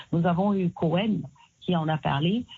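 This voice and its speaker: A woman speaks fairly slowly in a somewhat breathy, fairly low voice. Her pitch varies in an ordinary way. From Cameroon. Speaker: singer and activist. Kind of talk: interview. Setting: phone call.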